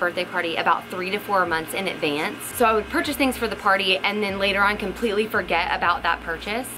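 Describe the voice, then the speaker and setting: A woman at a very fast pace with ordinary pitch variation, faint music in the background. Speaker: parent vlogger. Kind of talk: casual vlog tutorial.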